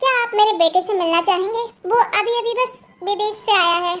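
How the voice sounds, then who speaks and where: In a put-on character voice, a woman sounds squeaky at an extremely high pitch, with ordinary pitch variation. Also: fairly quick pace. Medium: read story. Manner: smooth, formal.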